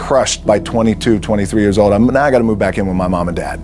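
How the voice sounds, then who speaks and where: There is music in the background as a man speaks. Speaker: actor and former football player. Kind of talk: motivational speech to a sports team. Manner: casual, unscripted, from the heart.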